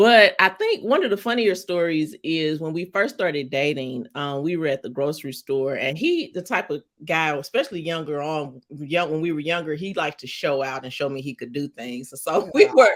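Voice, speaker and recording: A woman with a St. Louis accent and a very deep, low pitch speaks at a moderate pace with lively intonation, big swings in loudness and hardly any pauses. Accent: St. Louis accent, drops R's. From US Midwest, St. Louis, Missouri. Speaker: romance author. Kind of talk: interview.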